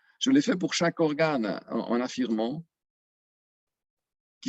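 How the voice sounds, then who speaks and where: A man with lively intonation at a moderate pace. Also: long, frequent pauses. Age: 60s. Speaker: retiree giving testimonial. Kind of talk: testimony. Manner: halting, many filler sounds.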